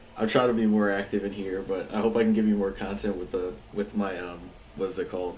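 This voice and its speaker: Talking at a fairly quick pace, a man with a fairly low voice is heard over noticeable background noise and audible room echo. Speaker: video game streamer. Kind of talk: casual live stream chat. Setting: live stream while gaming. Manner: loud; animated.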